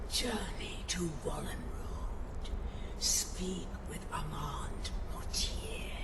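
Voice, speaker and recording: A put-on character voice, whispering at a very slow pace over loud background noise. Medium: machinima. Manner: slow, whispering, otherworldly.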